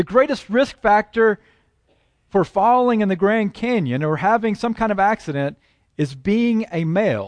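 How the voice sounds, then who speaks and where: A man with an American accent and a high pitch speaks at a moderate pace with lively intonation, recorded dry and close with no echo over a quiet background. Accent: Southern US, toned down. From Texas and Oklahoma. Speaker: preacher. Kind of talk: sermon. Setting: church.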